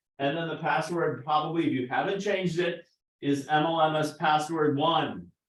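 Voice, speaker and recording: A man's fairly high voice at a moderate pace, with fairly even intonation. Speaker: marketing company founder presenting to real estate agents. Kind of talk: sales presentation to an office meeting. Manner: loud, yelling.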